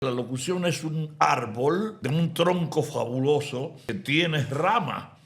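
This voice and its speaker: Over noticeable background noise, a man with a fairly high pitch speaks at a very slow pace with hardly any pauses and ordinary pitch variation. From Dominican Republic. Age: 80s+. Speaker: announcer. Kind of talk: interview answer.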